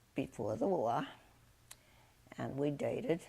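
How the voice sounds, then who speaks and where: Vocal fry runs through a woman's very deep, low voice, which has a dark, mellow tone. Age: 80s+. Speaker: war bride. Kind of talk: interview answer.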